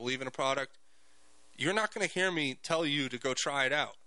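Speaking at a very fast pace, a man uses a bright, sharp tone at a fairly high pitch with ordinary pitch variation. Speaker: radio host. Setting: radio studio broadcast.

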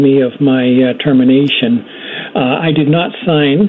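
A fairly high-pitched man with ordinary pitch variation over noticeable background noise. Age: 70s. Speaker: caller. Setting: phone call.

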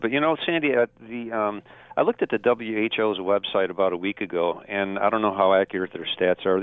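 With a plain, everyday voice, this man keeps a moderate pace, his fairly low pitch rising and falling in an ordinary way. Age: 60s. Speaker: caller. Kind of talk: call-in talk radio. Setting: phone call.

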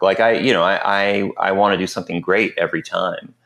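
With a silent background, the recording of this man talking is very clean. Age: 40s. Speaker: film composer. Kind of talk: casual chat. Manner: halting.

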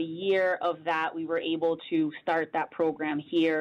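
With an American accent, a woman speaks at a moderate pace in a fairly low pitch and monotone, flat intonation. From Connecticut, Bridgeport. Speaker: public health director. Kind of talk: radio interview.

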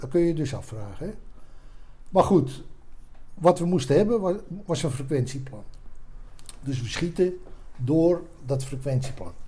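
Somewhat breathy speech with a dark, mellow tone and lively intonation, fairly slow, full of long, frequent pauses, in audible room echo. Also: man, fairly high pitch for a man. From Netherlands, Haarlem (Noord-Holland). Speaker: retired army commando officer. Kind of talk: life-story interview.

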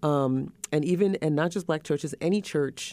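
Very deep and low in pitch, a woman's voice carries a dark, mellow tone with ordinary pitch variation. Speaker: podcast co-host. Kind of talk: casual chat. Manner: animated.

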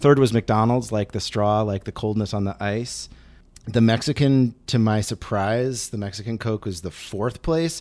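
Delivered at a moderate pace with ordinary pitch variation, this is a normal speaking voice on a very clean recording with a silent background. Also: man, medium pitch for a man. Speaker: podcast producer. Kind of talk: casual chat.

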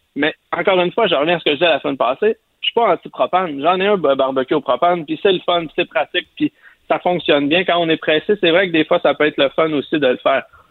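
Speaking at a very fast pace, a man uses high pitch with ordinary pitch variation. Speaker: barbecue columnist. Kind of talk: casual chat.

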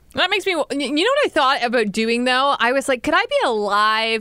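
An animated tone with very wide pitch swings over noticeable background noise. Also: woman. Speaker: podcast co-host. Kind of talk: casual chat. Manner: animated, joking.

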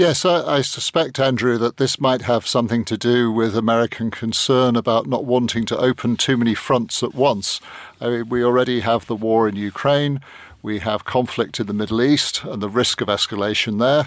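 This man has an ordinary speaking voice, medium in pitch, with ordinary pitch variation at a moderate pace. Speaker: journalist. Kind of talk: panel discussion. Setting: studio.

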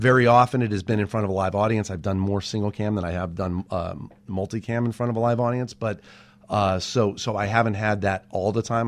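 A plain, everyday voice: a man with an American accent, fairly low-pitched, at a fairly quick pace with ordinary pitch variation. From Southern California. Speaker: TV writer and producer. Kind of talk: casual interview chat. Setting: studio with headphones.

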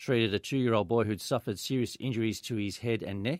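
A man with an Australian accent, medium in pitch, his intonation fairly even. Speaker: police inspector. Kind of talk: police report on radio. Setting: radio studio.

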